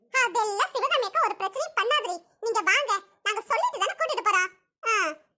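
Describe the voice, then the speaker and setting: In a squeaky, cartoonish character voice, a woman speaks at an extremely high pitch with lively intonation and very even loudness. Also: moderate pace. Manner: firm, no-nonsense.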